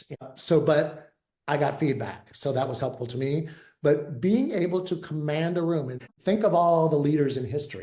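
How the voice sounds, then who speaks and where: A man speaks at a moderate pace in a fairly high, somewhat breathy voice with a dark, mellow tone. His pitch varies in an ordinary way, and the room echo is audible. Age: 60s. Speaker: therapist turned veterinary leadership consultant. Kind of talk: interview. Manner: casual, conversational with fillers.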